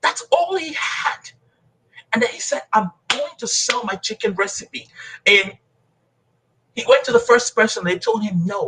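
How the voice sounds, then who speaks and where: A man with a Nigerian accent speaks in a passionate, animated tone. His pace is fairly slow, with long, frequent pauses. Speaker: motivational speaker and coach. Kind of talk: motivational speech in interview.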